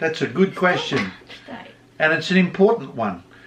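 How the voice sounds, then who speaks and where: A man with an Australian accent talks at a moderate pace over noticeable background noise. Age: 60s. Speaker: vlogger's husband. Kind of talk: casual Q&A chat.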